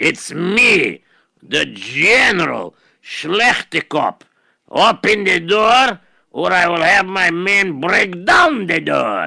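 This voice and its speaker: A man puts on a gruff, raspy character voice, high in pitch and raised, projected. He delivers it at a very slow pace. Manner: threatening.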